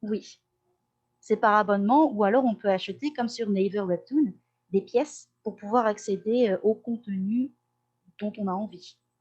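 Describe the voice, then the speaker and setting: Fairly high-pitched woman at a fairly slow pace, ordinary pitch variation and long, frequent pauses. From Corsica (Ajaccio). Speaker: language teacher and translator. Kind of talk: podcast interview. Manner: hesitant, many euh fillers.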